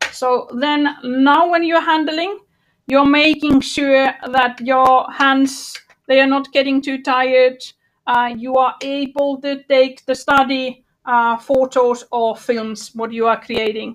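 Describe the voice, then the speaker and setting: Against a quiet background, a woman speaks very slowly in a high voice with fairly even intonation. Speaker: workshop trainer. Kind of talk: online workshop tutorial. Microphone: video call.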